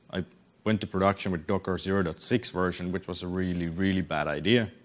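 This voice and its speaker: Speaking at a fairly quick pace, a man with a very deep, low pitch talks with a Finnish accent. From Finland. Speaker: software developer and conference speaker. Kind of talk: conference talk. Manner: halting, many repetitions and fillers.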